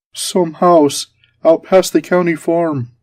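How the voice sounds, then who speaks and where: At a fairly slow pace, a put-on character voice speaks in a middle pitch. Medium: read story. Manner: stammering, whining.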